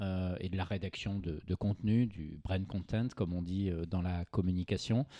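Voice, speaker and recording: A man's very deep, low voice with a dark, mellow tone, moderate pace, fairly even intonation and hardly any pauses, on a very clean recording with a silent background. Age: 40s. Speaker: journalist and agency founder. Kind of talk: interview. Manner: halting, frequent repetitions.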